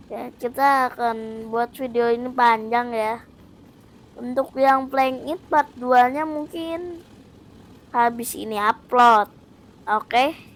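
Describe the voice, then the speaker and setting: A high-pitched woman's voice, very slow, with ordinary pitch variation and big swings in loudness. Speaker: gaming youtuber. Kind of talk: gameplay commentary. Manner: casual, chatty.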